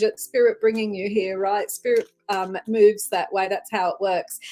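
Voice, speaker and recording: Someone speaks with an Australian accent at a moderate pace. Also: woman. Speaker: psychic medium, tarot reader. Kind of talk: live-stream psychic reading. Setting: live stream. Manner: warm, chatty with many fillers.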